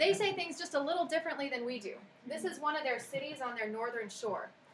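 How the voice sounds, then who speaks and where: A woman with an American accent speaks in a high voice with lively intonation, her words carrying audible room echo over noticeable background noise. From United States. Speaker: worship talk speaker. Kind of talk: devotional talk.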